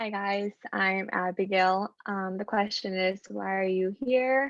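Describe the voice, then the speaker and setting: A woman at medium pitch talks at a very slow pace with fairly even intonation. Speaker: student. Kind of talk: self-introduction. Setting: video call. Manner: stutters, many filler words.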